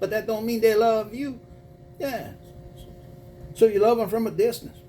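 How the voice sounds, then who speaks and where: Dark and mellow in tone, a man's voice sits at a high pitch with fairly even intonation. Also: moderate pace. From Louisiana (Cajun). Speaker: spiritual reader / tarot channel host. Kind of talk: casual chat reading viewer emails. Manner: informal, colloquial.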